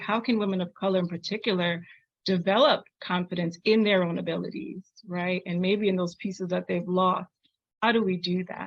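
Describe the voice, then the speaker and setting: With an American accent, a woman talks at a moderate pace and medium pitch, her intonation fairly even. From Trinidad. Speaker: podcast host. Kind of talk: interview.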